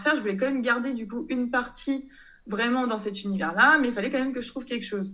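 With audible room echo, a woman talks very fast at a fairly high pitch, her tone bright and sharp and her intonation lively. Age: 30s. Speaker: textile designer and online shop founder. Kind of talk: casual interview.

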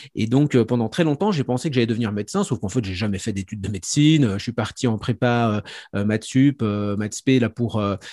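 A man talks at medium pitch and a moderate pace, with ordinary pitch variation and a dark, mellow tone. The sound is dry and close with no echo, on a very clean recording with a silent background. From Franche-Comté, France. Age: 40s. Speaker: professional psychic and speaker. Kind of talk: interview conversation. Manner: hesitant, many fillers.

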